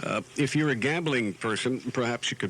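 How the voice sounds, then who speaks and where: Speaking at a fairly quick pace, a man with a medium pitch comes through over noticeable background noise. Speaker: radio announcer. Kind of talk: radio DJ patter. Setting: radio broadcast.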